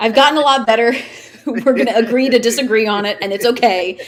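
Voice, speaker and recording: A woman's fairly high, playful voice at a very fast pace with lively intonation over noticeable background noise. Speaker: wrestling commentator and ring announcer. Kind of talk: interview answer. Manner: chatty, playful.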